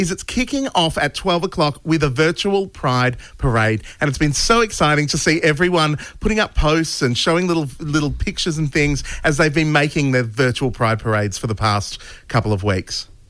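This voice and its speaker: At a fairly quick pace, a man with a plain, everyday voice speaks at fairly high pitch with lively intonation. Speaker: radio host. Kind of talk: radio show chat. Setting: radio studio.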